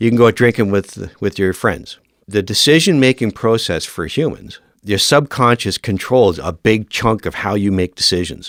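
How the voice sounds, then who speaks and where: With a Canadian accent, a man in a normal speaking voice talks at a moderate pace, fairly low in pitch with ordinary pitch variation, on a very clean recording with a silent background and a dry, close sound with no echo. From Northern Ontario, Canada. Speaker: firefighter and fire academy instructor. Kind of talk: podcast interview.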